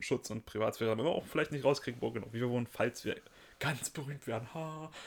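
Very fast speech from a man, ordinary pitch variation, very clean recording, silent background. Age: 20s. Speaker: podcast co-host. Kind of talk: casual chat. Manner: hesitant, many fillers.

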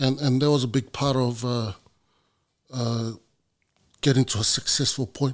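A man speaks at a medium pitch and moderate pace with monotone, flat intonation. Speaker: professional wrestler. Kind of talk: casual interview chat.

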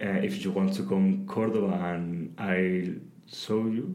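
Audible room echo carries a man's voice with a Spanish accent and fairly even intonation. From Spain. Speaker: podcast guest, student. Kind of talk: casual chat. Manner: halting in English.

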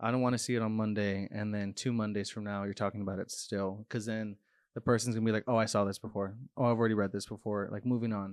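A man's fairly low-pitched voice, very fast and monotone with flat intonation, against a quiet background. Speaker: marketing coordinator, recent graduate. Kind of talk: casual chat.

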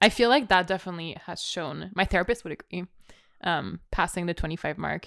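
A woman speaks with vocal fry in an animated tone at a fairly low pitch and a fairly quick pace, with ordinary pitch variation and big swings in loudness. The recording is very clean, with a silent background. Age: 20s. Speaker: podcast co-host and student. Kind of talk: casual chat. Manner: animated, laughing often.

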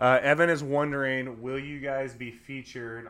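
Here is a man with an American accent and a plain, everyday voice. He speaks at a moderate pace and a medium pitch. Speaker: sports podcast host. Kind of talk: casual chat.

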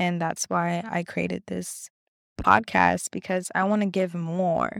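The speaker has an American accent, a fairly slow pace and fairly even intonation. The recording is very clean with a silent background and a dry, close sound with no echo. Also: woman. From Los Angeles, California. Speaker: podcast host. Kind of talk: casual monologue.

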